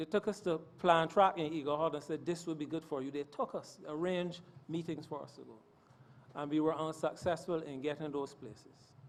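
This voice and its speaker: In an unremarkable speaking voice, a man talks at a fairly quick pace with fairly high pitch and fairly even intonation, his loudness swinging widely. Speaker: parliamentarian speaking on vocational training. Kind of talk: parliamentary speech.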